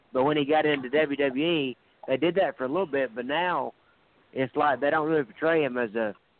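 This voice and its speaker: Moderate pace, ordinary pitch variation, and a normal speaking voice. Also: man. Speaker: caller and wrestling fan. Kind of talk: casual chat. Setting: phone call.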